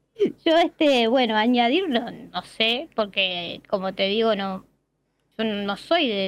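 Against a quiet background, a woman with a Uruguayan accent talks at a fairly slow pace, her fairly high voice varying in pitch in an ordinary way. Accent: Rioplatense Spanish (Uruguayan). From Uruguay, Montevideo. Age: 40s. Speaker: viewer, municipal employee. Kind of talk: casual interview. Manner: halting, many fillers.

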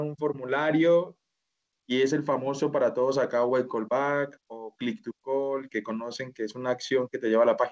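Here a man speaks at a moderate pace. His pitch is medium and his intonation fairly even. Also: dry, close sound with no echo. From Colombia (Bogotá). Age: 30s. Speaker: e-commerce manager. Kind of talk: interview. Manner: halting.

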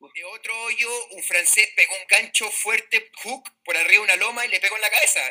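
Raising and projecting his high-pitched voice, a man talks at a fairly quick pace with big swings in loudness. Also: hardly any pauses. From Chile, Valdivia. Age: 40s. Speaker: professional golfer. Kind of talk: casual interview.

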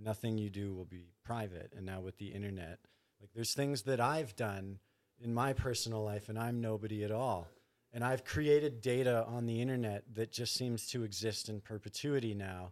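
In a very clean recording with a silent background, a man with an unremarkable speaking voice talks at a moderate pace, his pitch fairly low with ordinary variation and his loudness swinging widely. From Canada, Thunder Bay, Ontario. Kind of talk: casual chat.

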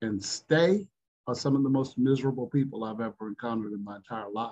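This is an ordinary speaking voice with ordinary pitch variation. The sound is dry and close, with no echo. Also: man. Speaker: recovery group member. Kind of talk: casual group discussion.

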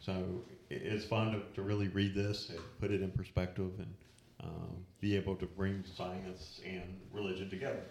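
In a room with audible echo, a man talks at a moderate pace with long, frequent pauses. His pitch is fairly low and his intonation monotone and flat. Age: 40s. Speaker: church youth leader. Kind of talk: casual group discussion. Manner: hesitant, many fillers.

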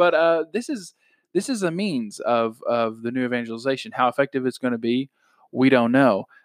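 A man at a medium pitch speaks in a plain, everyday voice on a very clean recording with a silent background. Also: lively intonation, moderate pace, dry, close sound with no echo. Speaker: podcast host. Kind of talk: casual chat about faith. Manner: conversational, informal.

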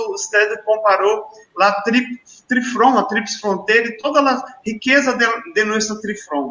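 With a Portuguese accent, a man speaks at a fairly slow pace and an extremely high pitch. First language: Portuguese (speaking Spanish). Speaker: school director. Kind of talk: formal introduction. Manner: halting.

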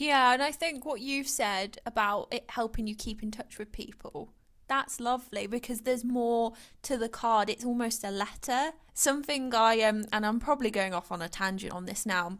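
In a very clean recording with a silent background, a woman with an unremarkable speaking voice talks at a moderate pace and a fairly high pitch, with ordinary pitch variation. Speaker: podcast co-host. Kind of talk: casual chat.

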